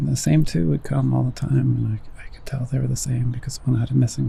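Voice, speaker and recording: Whispered words from a man, with noticeable background noise. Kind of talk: ASMR whisper ramble. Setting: outdoors.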